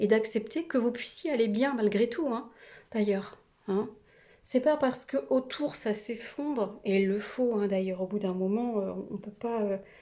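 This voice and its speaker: Fairly high in pitch yet dark and mellow in tone, a woman speaks at a fairly slow pace with ordinary pitch variation. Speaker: tarot card reader. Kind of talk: tarot reading video. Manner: hesitant with many fillers.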